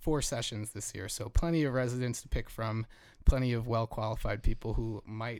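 It is a plain, everyday voice, and the words come at a moderate pace. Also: man. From Jersey Shore, New Jersey. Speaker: podcast host, program manager at an artist residency. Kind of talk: casual chat. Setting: small home studio in a bedroom.

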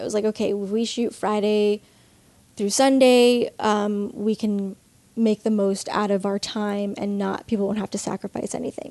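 An American-accented woman speaks at a moderate pace with a dark, mellow tone, a fairly high pitch and monotone, flat intonation. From Long Island, New York. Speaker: filmmaker and film educator. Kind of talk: interview.

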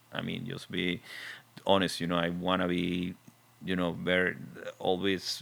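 This man has a very deep, low voice and speaks with a Venezuelan accent. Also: long, frequent pauses. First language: Spanish. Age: 40s. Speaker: film composer. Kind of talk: interview. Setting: studio.

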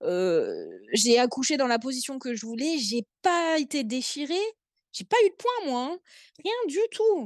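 Her voice is high, with very wide pitch swings. The woman speaks very slowly in a dry, close sound with no echo. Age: 30s. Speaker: young mother with endometriosis. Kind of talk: casual interview.

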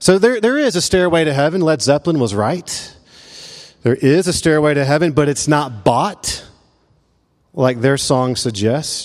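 Speaking in a Memphis accent, a man uses a fairly high pitch with very wide swings. He leaves long, frequent pauses. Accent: Southern US (Memphis). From US South, Memphis. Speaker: pastor. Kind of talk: sermon. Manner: halting.

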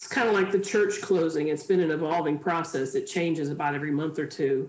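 A woman's unremarkable speaking voice with an American accent, ordinary pitch variation and a moderate pace. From Chicago. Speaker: physician, church choir member. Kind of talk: casual interview. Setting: video call.

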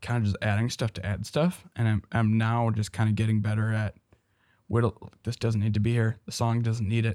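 A man with an ordinary speaking voice and an American accent talks at a fairly quick pace at a medium pitch, in a dry, close sound with no echo on a very clean recording with a silent background. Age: young. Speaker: musician and producer. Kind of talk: casual chat.

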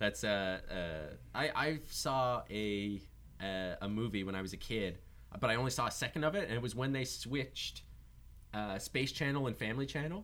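Here is a man with a normal speaking voice at medium pitch. He talks at a moderate pace with lively intonation. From Newfoundland, Canada. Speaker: podcast host, filmmaker and comedian. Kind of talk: casual chat.

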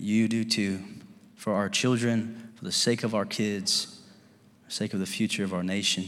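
This man has a Kentucky accent and a fairly low pitch. His tone is animated and his pace moderate. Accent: Southern US (Kentucky). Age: 30s. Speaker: pastor. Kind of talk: sermon. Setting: church with live congregation. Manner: animated, fervent preacher in full flow, urging the congregation to respond with amens.

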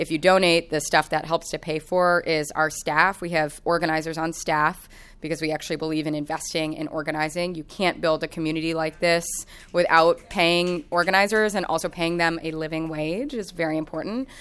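A woman with an American accent, fairly low pitch and monotone, flat intonation at a fairly quick pace, on a very clean recording with a silent background. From Kansas City, US Midwest. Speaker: tenant organizer and housing researcher. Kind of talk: rally speech, pleading and rousing audience to act. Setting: live event with audience.

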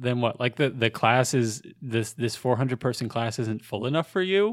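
A man with a normal speaking voice talks at medium pitch and a moderate pace. His pitch varies in an ordinary way. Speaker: podcast co-host, graduate student. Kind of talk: casual chat.

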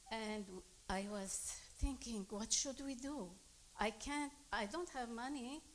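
Speaking at a very slow pace with long, frequent pauses, a woman with a Lebanese accent uses a fairly high pitch and ordinary pitch variation. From Lebanon. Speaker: immigrant congregant. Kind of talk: testimony.

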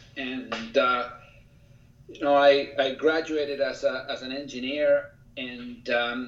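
Audible room echo fills the space around this man. His intonation remains fairly even. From Chile. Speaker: engineer and author. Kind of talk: interview.

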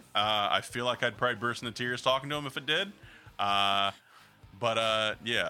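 With an American accent, a man has a plain, everyday voice at medium pitch. He talks at a moderate pace with ordinary pitch variation. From Maryland, DC area. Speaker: podcast guest. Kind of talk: casual chat.

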